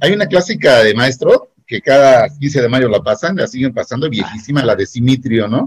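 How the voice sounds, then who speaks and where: Somewhat breathy and at a medium pitch, a man speaks at a moderate pace with lively intonation and hardly any pauses. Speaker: secondary school teacher. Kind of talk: casual chat. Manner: animated.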